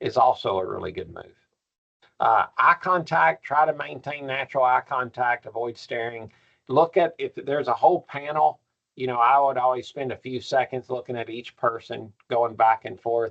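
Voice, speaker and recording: Speaking with a Kentucky accent at a moderate pace, a man uses a medium pitch with ordinary pitch variation and big swings in loudness. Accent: persistent Kentucky. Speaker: professor. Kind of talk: workshop lecture.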